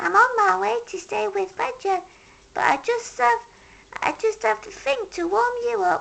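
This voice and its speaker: A female-sounding put-on character voice moves at a moderate pace with high pitch for a woman. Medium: read story. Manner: gentle, kind.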